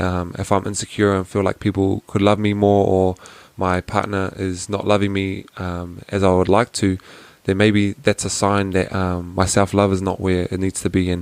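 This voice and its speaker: At a moderate pace, a man speaks in a very deep, low pitch with monotone, flat intonation. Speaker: podcast host. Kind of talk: solo Q&A podcast. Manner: hesitant, many fillers.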